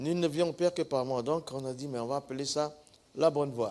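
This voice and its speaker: With an Ivorian accent, a man of fairly high pitch speaks at a moderate pace, with ordinary pitch variation. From northern Côte d'Ivoire. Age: 70s. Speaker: pastor. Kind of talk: testimony.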